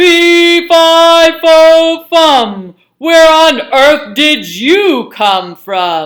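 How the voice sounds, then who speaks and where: Using a put-on character voice pitched high, the speaker goes at a very slow pace with hardly any pauses. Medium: read story.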